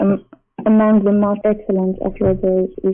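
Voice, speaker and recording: With an Arabic accent and monotone, flat intonation, a woman speaks at medium pitch while music plays in the background. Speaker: caller. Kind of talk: live call-in religious debate. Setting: live online call-in show. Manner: halting, hesitant. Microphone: slow internet connection.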